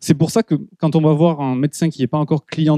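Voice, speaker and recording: A dark, mellow tone comes through at a fairly quick pace. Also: man. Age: 30s. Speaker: product marketing director. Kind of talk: conference talk. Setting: stage with audience. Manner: hesitant, many fillers.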